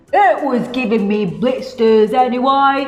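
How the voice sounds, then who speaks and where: Faint music plays behind a put-on character voice with a fairly high pitch. The delivery comes at a fairly slow pace. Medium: read story. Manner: cheerful, singsong.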